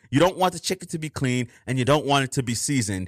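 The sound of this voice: The recording is very clean with a silent background. A man speaks at a medium pitch in a fairly bright tone.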